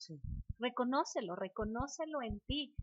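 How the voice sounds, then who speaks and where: A woman talks with a high pitch and lively intonation. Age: 70s. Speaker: spiritual course teacher and therapist. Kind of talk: casual chat.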